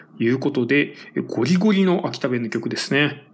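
A man talks at moderate speed. His pitch moves through very wide swings. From Tokyo. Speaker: radio-style music show host. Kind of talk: casual solo talk between songs.

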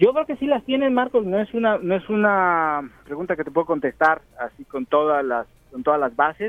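Over music in the background, a man with a Mexican accent talks at a high pitch and a moderate pace, his pitch swinging very widely with hardly any pauses. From Mexico. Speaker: field reporter. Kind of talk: live remote report.

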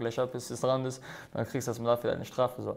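A man speaks at a very fast pace with a medium pitch. The recording is very clean, with a silent background. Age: 20s. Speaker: MMA fighter. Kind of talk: casual chat.

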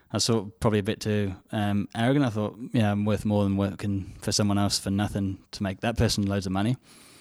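In an English accent, a man with a fairly low pitch speaks at a very fast pace with monotone, flat intonation on a very clean recording with a silent background. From England. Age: 20s. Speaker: charity volunteer. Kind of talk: casual interview.

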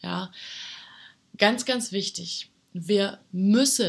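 This woman's voice is somewhat breathy. Her recording is very clean, and the background is silent. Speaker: health podcast host. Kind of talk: solo podcast monologue. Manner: casual, with frequent fillers.

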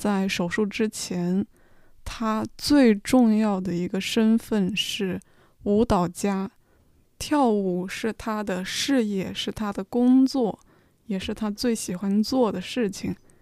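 A woman talks at a very slow pace in a medium pitch, her tone dark and mellow. Her intonation is fairly even, and the recording is very clean with a silent background. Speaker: podcast host and Chinese tutor. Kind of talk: educational monologue for learners. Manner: slow, clear speech.

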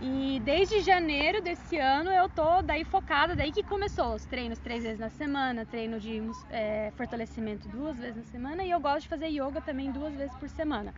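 A woman with a high pitch and lively intonation talks at a moderate pace with hardly any pauses, against noticeable background noise. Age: 30s. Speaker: amateur runner, sales worker. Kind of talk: casual interview.

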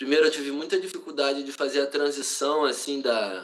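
This man has a fairly high pitch. He speaks in a Rio de Janeiro accent. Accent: Carioca Brazilian Portuguese. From Brazil, Rio de Janeiro. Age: 30s. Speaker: writer and cultural activist. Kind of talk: casual interview. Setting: remote call.

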